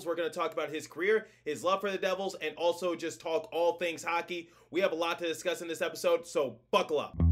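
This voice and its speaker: Music plays behind a man talking at a very fast pace with hardly any pauses. His voice is high, with fairly even intonation. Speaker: podcast host. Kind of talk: podcast intro.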